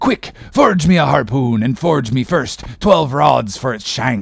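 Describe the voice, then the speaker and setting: Using a put-on character voice, a man delivers his lines at a moderate pace. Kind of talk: classic novel audiobook reading. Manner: passionate, commanding, archaic speech.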